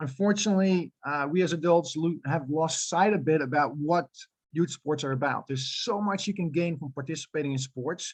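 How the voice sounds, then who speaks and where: Speaking with a Dutch accent, a man keeps a fairly quick pace and a fairly high pitch with ordinary pitch variation. The sound is dry and close, without echo. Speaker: youth soccer club director. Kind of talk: presentation. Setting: info night town hall. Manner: hesitant, many fillers.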